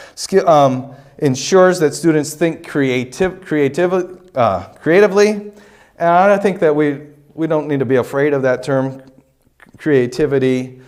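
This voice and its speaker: A man speaks at a fairly slow pace. His pitch is fairly high. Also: ordinary pitch variation. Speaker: college lecturer on teaching. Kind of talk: lecture. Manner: halting, many fillers.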